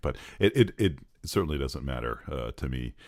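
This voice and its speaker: With vocal fry and lively intonation, a man talks at a moderate pace in a very clean recording with a silent background. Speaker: voice-over artist and pastor. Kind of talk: comedy interview. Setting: recording booth.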